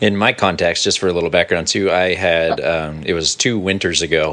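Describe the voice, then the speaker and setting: At a fairly quick pace, a man talks in a very deep, low, flat monotone over noticeable background noise. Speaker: worship pastor and podcast host. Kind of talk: casual chat.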